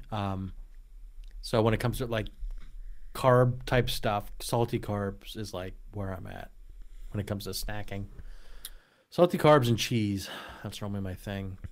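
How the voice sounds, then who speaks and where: A man with an eastern Pennsylvania accent and a fairly low pitch talks at a moderate pace, with long, frequent pauses and big swings in loudness. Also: ordinary pitch variation. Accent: Eastern Pennsylvania American. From Eastern Pennsylvania, Lehigh Valley (Allentown). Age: 40s. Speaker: podcast host. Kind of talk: casual chat.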